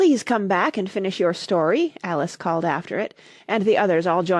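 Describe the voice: This is plain reading aloud. Nothing more is marked.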